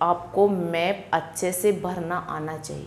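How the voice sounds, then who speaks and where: A woman speaks at a medium pitch with fairly even intonation. Noticeable background noise and audible room echo can be heard. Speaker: online exam-prep teacher. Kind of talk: lecture.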